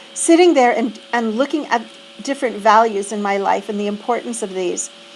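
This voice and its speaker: A woman speaks with a fairly high pitch and ordinary pitch variation against noticeable background noise. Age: 60s. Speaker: reflection vlogger. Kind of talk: personal reflection monologue. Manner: halting, with fillers.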